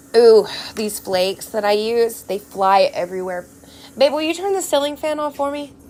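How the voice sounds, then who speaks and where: A woman speaks with an American accent at a fairly high pitch, her tone animated with very wide pitch swings. Noticeable background noise sits behind her. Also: moderate pace. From Texas. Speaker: nail art crafter streamer. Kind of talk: casual live stream chat.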